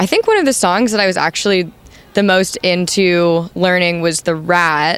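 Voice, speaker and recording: A woman uses an ordinary speaking voice and talks at a fairly slow pace. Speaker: punk band singer. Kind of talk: interview. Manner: casual, many fillers.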